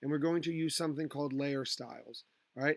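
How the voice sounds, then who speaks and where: A man with a plain, everyday voice speaks at a fairly high pitch with fairly even intonation, in a dry, close sound with no echo. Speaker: high school graphic design teacher. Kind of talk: tutorial. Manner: casual, filler words.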